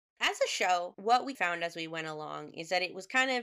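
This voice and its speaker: A woman with a bright, sharp tone speaks at a fairly quick pace in a fairly low pitch, with ordinary pitch variation. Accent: American. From United States. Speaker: podcast co-host and editor. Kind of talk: casual chat.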